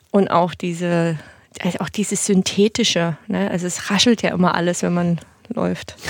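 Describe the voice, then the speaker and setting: At a moderate pace, a woman with an unremarkable speaking voice talks in a fairly low pitch with fairly even intonation. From eastern Germany, Dresden (Saxony). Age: 30s. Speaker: make-up artist. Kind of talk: casual interview chat.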